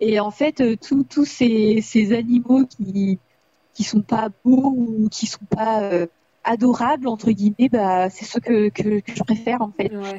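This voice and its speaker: A somewhat breathy, fairly high female voice at a very slow pace, fairly even in intonation, with big swings in loudness. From France, Indre-et-Loire. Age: 20s. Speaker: rabbit owner. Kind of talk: interview.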